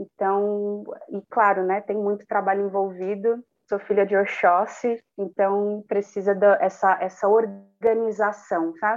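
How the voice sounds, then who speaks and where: A woman's medium-pitched, monotone delivery at a fairly slow pace, with music in the background. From Cubatão, São Paulo coast (Brazil). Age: 20s. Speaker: actress and performer. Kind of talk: casual interview chat.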